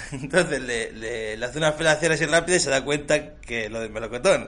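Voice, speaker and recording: A man with a bright, sharp tone talks at a moderate pace. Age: 20s. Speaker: community radio co-host. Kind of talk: casual chat.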